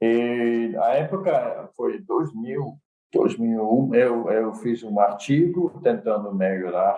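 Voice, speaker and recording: In a Dutch accent, a man with a medium-pitched voice speaks at a very slow pace with hardly any pauses. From Netherlands. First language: Dutch (speaking Portuguese). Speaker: computer science professor. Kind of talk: interview.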